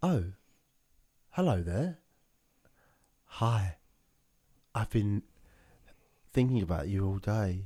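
Speaking very slowly with long, frequent pauses, a man with a British accent and a fairly low pitch uses lively intonation in a dark, mellow, somewhat breathy tone. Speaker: podcast host. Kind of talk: casual chat.

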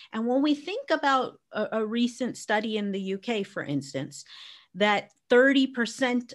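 Speaking at a moderate pace with lively intonation, a woman has an unremarkable speaking voice and an American accent. The recording is very clean, with a silent background. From US, Arizona. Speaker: educator and business strategist. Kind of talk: interview conversation.

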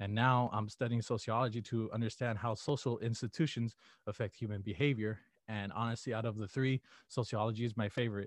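With an American accent, a man talks at a fairly quick pace and medium pitch in an unremarkable speaking voice, his intonation fairly even against a quiet background. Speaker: college student. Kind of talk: interview. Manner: casual, many fillers.

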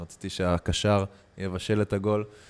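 A very deep, low-voiced man speaks in a flat monotone, recorded very cleanly over a silent background. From Israel. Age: 20s. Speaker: athlete, footvolley champion and former footballer. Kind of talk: casual interview chat.

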